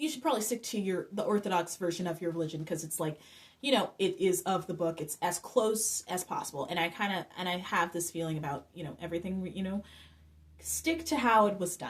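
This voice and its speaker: A woman with an American accent talks at a fairly quick pace in an unremarkable speaking voice, with medium pitch and ordinary pitch variation. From North Carolina. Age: 20s. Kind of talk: casual talk to camera.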